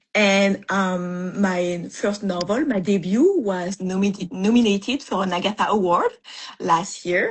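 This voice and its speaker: This woman has a French accent and a medium pitch. Her voice is somewhat breathy, with fairly even intonation at a fairly slow pace. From France. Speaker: mystery author. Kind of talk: interview on writing craft. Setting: live video stream. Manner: halting, many fillers.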